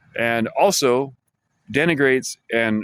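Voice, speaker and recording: Lively intonation marks this man's speech. His pitch sits in the medium range. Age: 50s. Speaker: vlogger. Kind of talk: casual monologue vlog. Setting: library. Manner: halting, many restarts and fillers.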